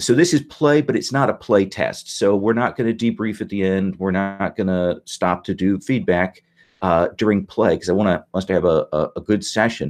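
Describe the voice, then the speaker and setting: Here a man talks with an Indiana accent at a moderate pace. His pitch is fairly low. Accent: Hoosier. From Indiana, US Midwest. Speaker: game master. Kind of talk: game session briefing. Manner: halting, many fillers.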